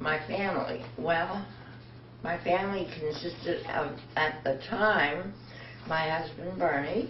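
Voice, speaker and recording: A woman's very deep, low voice with an American accent, very slow pace and lively intonation, plus audible room echo and noticeable background noise. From New York City. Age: 80s+. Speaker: oral history interviewee. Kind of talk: interview.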